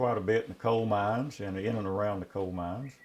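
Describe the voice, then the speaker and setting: A man in an Appalachian accent, fairly low in pitch, at a moderate pace with fairly even intonation. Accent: Appalachian, unchanged. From Appalachia, eastern Kentucky. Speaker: saddle maker and retired teacher. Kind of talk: interview.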